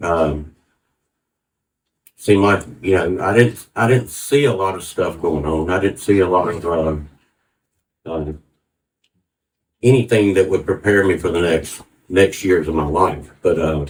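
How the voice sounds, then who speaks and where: The speaker has a Southern US accent and a somewhat breathy voice, moving at a fairly slow pace with long, frequent pauses and ordinary pitch variation. The recording is very clean with a silent background. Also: man, very deep, low pitch for a man. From US South, Atlanta, Georgia. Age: 60s. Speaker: church testimony speaker. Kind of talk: testimony. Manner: halting.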